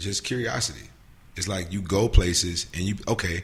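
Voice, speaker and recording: Amid audible room echo, a man speaks in a very deep, low pitch that is somewhat breathy. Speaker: hip-hop artist. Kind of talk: casual chat. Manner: animated.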